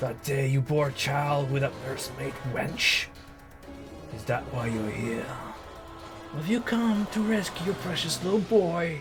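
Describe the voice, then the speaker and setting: A man puts on a character voice with a fairly high pitch at a moderate pace. Hissing and clear music sound in the background. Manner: menacing, accusatory.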